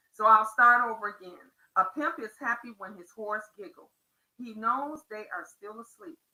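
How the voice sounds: Against a quiet background, the speaker reads in a natural reading voice.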